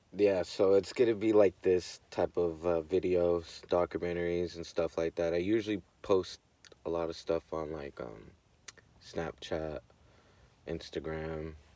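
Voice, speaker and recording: A man's very deep, low, dark and mellow voice with an American accent, fairly even intonation, and a dry, close sound with no echo. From US West Coast, Oakland, California. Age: 20s. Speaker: vlogger living in his vehicle. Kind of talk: casual vlog monologue. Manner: hesitant, many fillers.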